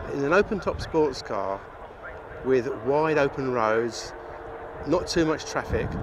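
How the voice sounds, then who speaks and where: This man talks fairly slowly with a fairly high pitch and lively intonation. Noticeable background noise runs under his voice. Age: 60s. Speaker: classic car owner. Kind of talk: interview monologue.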